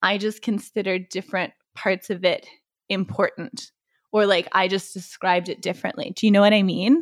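At a moderate pace, a woman with a normal speaking voice and a fairly high pitch talks in a dry, close sound with no echo, on a very clean recording with a silent background. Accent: American. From Texas (Waco). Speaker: podcast co-host. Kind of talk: casual chat. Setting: in-person recording in a living room.

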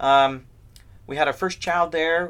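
A man's bright, sharp voice in a Midwestern American accent at a moderate pace. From US Midwest, north central Ohio. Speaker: seminary professor. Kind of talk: interview.

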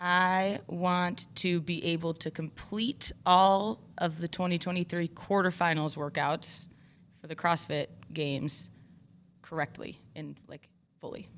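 In an ordinary speaking voice with an American accent, a woman speaks at a fairly slow pace with a fairly low pitch and fairly even intonation on a very clean recording with a silent background. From Michigan. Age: 30s. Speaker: gym owner and fitness coach. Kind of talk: casual interview. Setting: studio.

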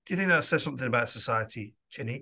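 A voice with a Lancashire accent and a bright, sharp tone, heard over a quiet background. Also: man. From Lancashire, northern England. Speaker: podcast host and parish priest. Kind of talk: interview.

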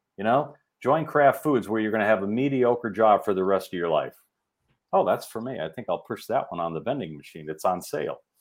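With an American accent, a man at a medium pitch talks at a fairly quick pace with lively intonation. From Chicago suburbs, US Midwest. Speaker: executive recruiter and behavioral scientist. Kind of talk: interview.

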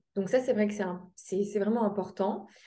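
The tone is dark and mellow. The pace is moderate. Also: woman. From Lorraine, France (Metz). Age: 20s. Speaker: sports nutritionist. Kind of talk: interview.

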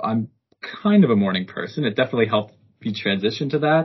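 A man with a Canadian accent speaks with ordinary pitch variation. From Canada, Ottawa. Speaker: engineering co-op student intern. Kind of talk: casual interview. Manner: hesitant, many fillers.

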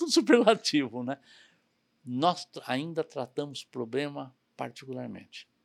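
The sound is dry and close, with no echo. A man talks at a fairly slow pace with ordinary pitch variation. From São Paulo, Brazil. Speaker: logistics company president. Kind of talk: interview conversation.

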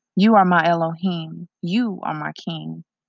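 Against a quiet background, a woman with an unremarkable speaking voice talks at a fairly low pitch with fairly even intonation, the sound dry and close with no echo. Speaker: poet and podcast host. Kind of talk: poetry reading, spoken-word poems with spiritual intro. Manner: rhythmic, heartfelt, earnest; devout, blessing-filled delivery.

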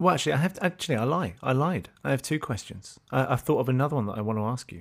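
With a southern British accent, a man of medium pitch speaks with very wide pitch swings on a very clean recording with a silent background. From London and Essex, England. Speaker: podcast host. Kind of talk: casual interview.

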